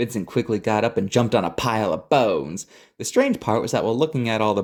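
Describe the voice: Someone reads aloud in a plain manner. Their intonation moves in a lively way.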